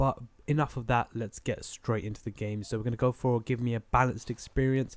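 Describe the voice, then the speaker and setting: A man with a British accent talks at a fairly quick pace in a monotone, flat intonation. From Britain. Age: 20s. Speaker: gaming YouTuber. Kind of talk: gameplay commentary. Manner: casual, filler-heavy.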